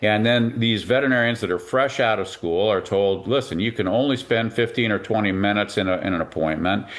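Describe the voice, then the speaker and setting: This man has a plain, everyday voice with a fairly low pitch. His pitch varies in an ordinary way. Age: 60s. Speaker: veterinarian. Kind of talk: interview.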